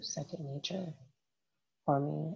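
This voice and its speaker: A woman is whispering. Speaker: podcast host, astrology and tarot. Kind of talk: casual solo talk with card reading. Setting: at home at night.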